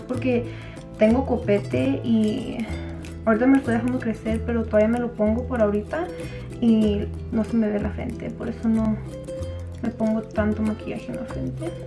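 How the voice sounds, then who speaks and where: Clear music sounds behind the voice. The speaker is a woman going at a moderate pace. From Durango, Mexico. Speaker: beauty vlogger. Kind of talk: casual makeup tutorial talk to camera. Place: home room. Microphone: camera far.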